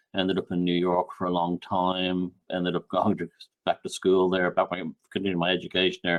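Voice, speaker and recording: A man's very deep, low voice, fairly quick and monotone with flat intonation. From Ireland. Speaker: author and researcher. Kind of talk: podcast interview.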